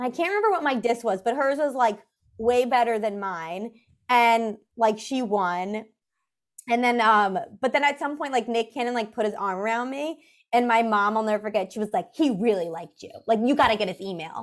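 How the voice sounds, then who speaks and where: A woman with a New York accent at a fairly high pitch and moderate pace, with ordinary pitch variation, on a very clean recording with a silent background. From New York City. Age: 20s. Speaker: comedian. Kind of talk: casual chat.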